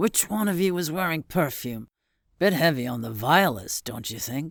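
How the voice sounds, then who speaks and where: A raspy, put-on character voice with very wide pitch swings moves at a moderate pace in a very clean recording with a silent background. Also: man, fairly high pitch for a man. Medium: read story. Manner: gruff, blunt.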